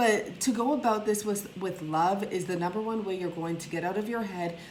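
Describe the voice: A woman speaks at a medium pitch with ordinary pitch variation, and audible room echo surrounds her.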